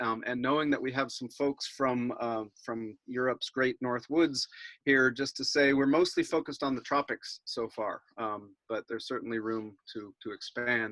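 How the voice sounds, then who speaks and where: Heard in a dry, close sound with no echo, a man with a medium pitch and a bright, sharp tone speaks at a moderate pace with fairly even intonation. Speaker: environmental campaigner. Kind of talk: webinar presentation.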